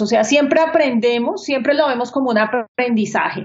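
This woman speaks with a high pitch. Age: 40s. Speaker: architect and business owner. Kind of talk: interview.

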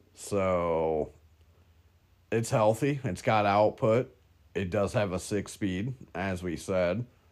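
Very slow, fairly low male speech with ordinary pitch variation and long, frequent pauses. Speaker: car podcast host. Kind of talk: casual chat.

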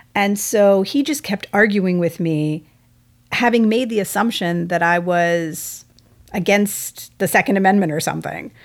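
Using a normal speaking voice, a woman with a medium pitch and an American accent speaks at a fairly slow pace with ordinary pitch variation on a very clean recording with a silent background. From US South, Texas (outside Houston). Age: 40s. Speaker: family lawyer and musician. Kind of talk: casual interview chat.

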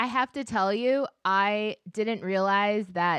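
In an American accent, a woman with an ordinary speaking voice talks at medium pitch and a fairly slow pace with ordinary pitch variation, over a quiet background. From Minnesota. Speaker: podcast host. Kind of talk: casual chat. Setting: video call.

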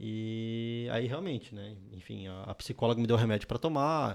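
A man's normal speaking voice at medium pitch, with a fairly slow pace and fairly even intonation, in a very clean recording with a silent background. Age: 20s. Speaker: software developer and startup founder. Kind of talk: casual chat.

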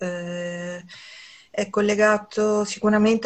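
A woman speaks in a monotone, flat intonation. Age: 60s. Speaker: massage therapist. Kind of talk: interview. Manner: halting.

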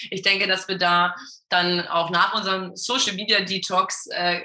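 Over noticeable background noise, a woman talks at a fairly slow pace with a medium pitch. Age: 30s. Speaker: health and performance coach. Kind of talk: casual interview.

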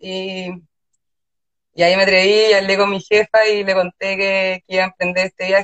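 A woman with a Chilean accent speaks at a fairly slow pace and a medium pitch. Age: young. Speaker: illustrator and designer. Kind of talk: casual interview chat. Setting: Instagram live.

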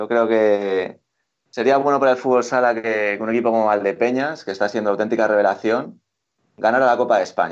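A plain, everyday voice from a man, medium in pitch, with fairly even intonation at a fairly quick pace over a quiet background. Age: 20s. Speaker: futsal pundit. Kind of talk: casual chat. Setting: call.

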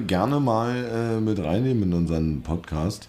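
A man speaks with audible room echo. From Brandenburg. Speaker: podcast host. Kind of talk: casual chat.

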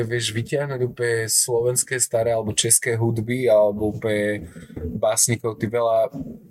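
Against noticeable background noise, a man of medium pitch speaks in a monotone, flat intonation at a moderate pace. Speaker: podcast host. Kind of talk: casual chat. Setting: café in Prague.

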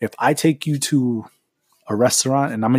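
Dry and close with no echo, a man speaks in a dark, mellow tone. His pitch is medium, with ordinary variation. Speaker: podcast host. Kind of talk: casual storytelling monologue. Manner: fast.

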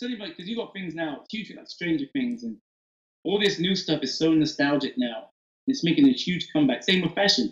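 A man's high voice in an Oxford accent, fairly quick, with very wide pitch swings and big swings in loudness. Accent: British English (Oxford). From England, Oxford. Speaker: hip-hop cosplayer and bartender. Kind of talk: casual interview chat.

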